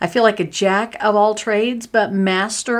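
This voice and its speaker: A woman with a medium-pitched voice is heard against a silent background on a very clean recording. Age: 50s. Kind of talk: casual monologue. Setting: small home office. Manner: animated, frequent laughter.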